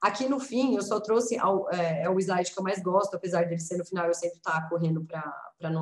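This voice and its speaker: A woman talks at a fairly quick clip. Hers is an unremarkable speaking voice, medium in pitch. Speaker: lawyer and researcher, speaker. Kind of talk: presentation.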